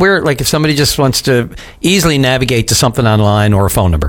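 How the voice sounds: A man's fairly bright voice at a fast pace, with ordinary pitch variation.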